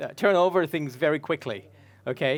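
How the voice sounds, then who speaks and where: At a fairly quick pace, a man speaks with a high pitch and ordinary pitch variation. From Australia (born in Sri Lanka). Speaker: songwriter and record producer. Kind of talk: presentation to a live audience. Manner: hesitant, many fillers.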